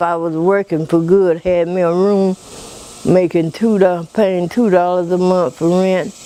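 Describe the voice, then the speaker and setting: Over noticeable background noise, a woman speaks fairly slowly in a fairly low, monotone voice with flat intonation. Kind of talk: interview answer. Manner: casual, reminiscing.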